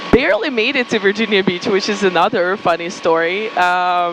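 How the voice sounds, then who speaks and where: A woman with a Ukrainian accent talks at a moderate pace in a medium pitch. Her pitch varies in an ordinary way, and there is noticeable background noise. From Ukraine. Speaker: marketing agency founder. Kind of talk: podcast interview, personal story.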